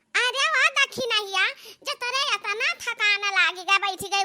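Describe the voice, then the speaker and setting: This is a cartoonish character voice that sounds female. The pitch is extremely high. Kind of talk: cartoon comedy dialogue.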